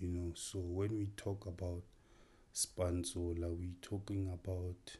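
A man's very deep, low voice, dark and mellow and somewhat breathy, with monotone, flat intonation, a very slow pace and a quiet background. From South Africa, North West Province (Mahikeng). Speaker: filmmaker. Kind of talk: interview.

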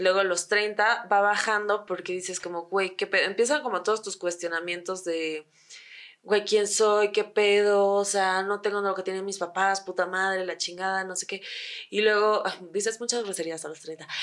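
Using fairly even intonation, a woman with a Mexican accent speaks at a medium pitch and a moderate pace. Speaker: podcast co-host. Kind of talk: casual chat.

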